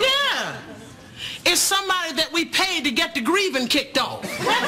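Loud background noise fills the clip. Over it, a woman speaks at a moderate pace. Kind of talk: sitcom dialogue. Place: studio.

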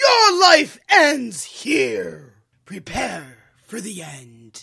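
A woman puts on a character voice. She speaks very slowly at a fairly high pitch.

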